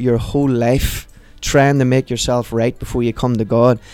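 Speaking at a moderate pace in a Northern Irish accent, a man uses a monotone, flat intonation at a medium pitch with a dark, mellow tone. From Northern Ireland, Portadown. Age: 30s. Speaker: pastor. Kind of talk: testimony; prayer.

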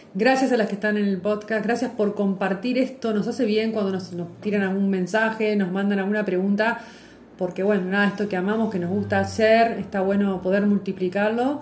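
Over noticeable background noise and audible room echo, a woman with a medium pitch talks at a fairly quick pace with fairly even intonation. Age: 50s. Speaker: podcast co-host, yoga and astrology teacher. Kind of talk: casual chat. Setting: live stream recording.

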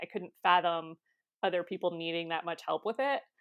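A woman speaks fairly quickly with an American accent. Her pitch is fairly low, with ordinary variation. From Ohio, US. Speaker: copywriter. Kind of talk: interview.

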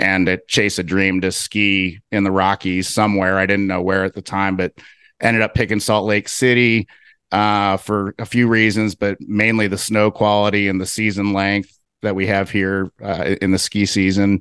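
A man with a fairly low voice speaks at a moderate pace in a monotone, flat intonation and very even loudness. The recording is dry and close with no echo and a quiet background. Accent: American. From US Midwest, Cincinnati, Ohio. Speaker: real estate investor. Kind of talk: interview.

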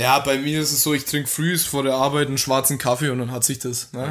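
A man with a Franconian accent speaks at a moderate pace in a medium pitch, his intonation flat and monotone. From Franconia, Germany. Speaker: podcast guest. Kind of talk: casual chat.

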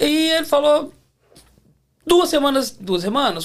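A man's voice with very wide pitch swings. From Belo Horizonte, Brazil. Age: 40s. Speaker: mechanic. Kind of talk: casual chat.

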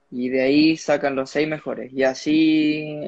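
A man with a Chilean accent, monotone and flat in intonation, in a dry, close sound with no echo. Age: young. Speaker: motocross rider. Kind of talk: casual interview. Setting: at home, live stream.

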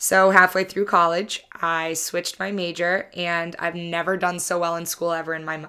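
Speaking in an American accent, a woman has a fairly low pitch, a bright, sharp tone and fairly even intonation. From southern Massachusetts. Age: 20s. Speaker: podcast host. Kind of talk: casual monologue.

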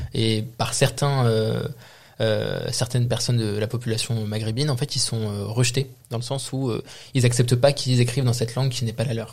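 A man at a medium pitch and moderate pace, somewhat breathy and monotone in flat intonation, on a very clean recording with a silent background. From France, Moroccan heritage. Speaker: podcast co-host. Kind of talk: casual chat.

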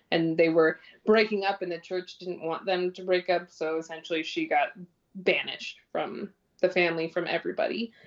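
A woman with a normal speaking voice and a Canadian accent talks at a fairly low pitch and moderate pace, her intonation fairly even but her loudness swinging widely. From Ontario, Canada (North Bay). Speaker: social media advocate for body positivity. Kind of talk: casual interview chat.

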